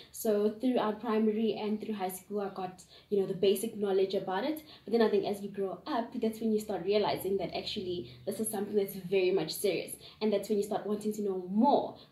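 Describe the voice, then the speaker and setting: A woman's fairly quick, fairly even-toned speech with audible room echo. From South Africa, Gauteng. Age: 20s. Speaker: young interviewee. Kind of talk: interview answers. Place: home room. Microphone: camera far.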